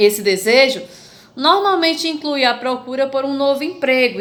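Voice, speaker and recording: A woman speaks at a high pitch with ordinary pitch variation. Her moderate pace is heard with audible room echo. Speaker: schoolteacher. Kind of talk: online lesson for children.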